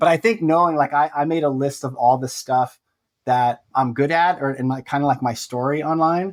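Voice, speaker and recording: A man's fairly high voice with ordinary pitch variation, in a very clean recording with a silent background. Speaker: personal finance blogger. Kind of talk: interview. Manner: fast.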